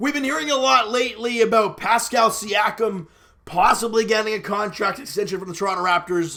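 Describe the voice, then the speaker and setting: The voice is raised and projected, with a bright, sharp tone. It moves at a fairly quick pace with ordinary pitch variation. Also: man, high pitch for a man. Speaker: sports commentary youtuber. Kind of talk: casual sports commentary monologue.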